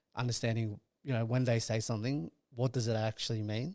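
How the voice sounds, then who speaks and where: In a very clean recording with a silent background, a man with an Australian accent talks fairly quickly at a medium pitch in a flat monotone. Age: 30s. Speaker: sales and partnerships manager. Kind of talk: podcast interview.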